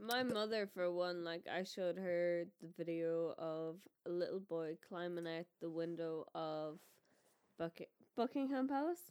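Here is a woman with an Irish accent. She has a fairly low pitch. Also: ordinary pitch variation, fairly slow pace. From Ireland. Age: 20s. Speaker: podcast host's girlfriend. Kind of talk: casual chat.

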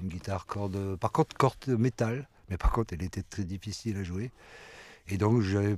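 A man talks at a fairly quick pace with ordinary pitch variation in a plain, everyday voice. The recording is very clean, with a silent background. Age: 50s. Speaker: musician. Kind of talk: interview. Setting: studio.

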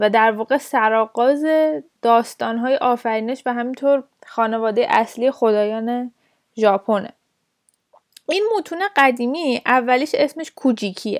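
A woman speaks at a high pitch with ordinary pitch variation and long, frequent pauses. The sound is dry and close, with no echo. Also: moderate pace. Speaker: podcast host. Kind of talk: educational storytelling podcast.

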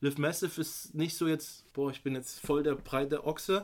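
This is a man with a plain, everyday voice and a fairly high pitch. He speaks at a moderate pace with fairly even intonation. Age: 30s. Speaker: fitness brand founder. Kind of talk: casual chat.

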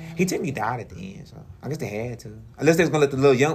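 A very fast pace and a somewhat breathy delivery. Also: man. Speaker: radio show co-host. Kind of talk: casual chat.

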